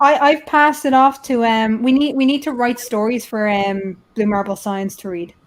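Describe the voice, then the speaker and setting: A woman with a high voice talks at a moderate pace in a Dublin accent. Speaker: YouTube channel host. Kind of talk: casual chat.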